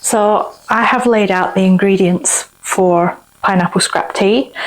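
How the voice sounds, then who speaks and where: A woman speaks at a very slow pace and a medium pitch, with very even loudness. Noticeable background noise runs behind her. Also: ordinary pitch variation. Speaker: cooking and craft video host. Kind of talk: cooking tutorial.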